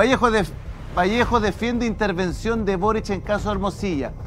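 With faint music in the background, a man talks at a moderate pace in a high pitch with ordinary pitch variation. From Chile. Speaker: talk show host. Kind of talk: panel debate. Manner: animated. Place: studio. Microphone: lapel.

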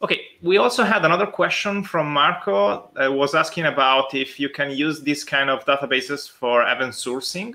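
A man speaks with an Italian accent in a bright, sharp tone, his intonation lively. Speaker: conference host; conference session moderator. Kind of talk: live Q&A moderation. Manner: halting. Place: home room.

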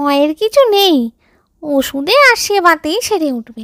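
A woman performs a put-on character voice at an extremely high pitch with very wide pitch swings. She speaks at a fairly slow pace, with a dry, close sound with no echo. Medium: read story. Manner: authoritative.

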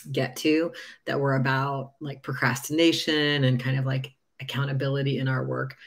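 Speech moves at a moderate pace against a quiet background. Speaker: presenter. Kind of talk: lecture. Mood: warm, upbeat.

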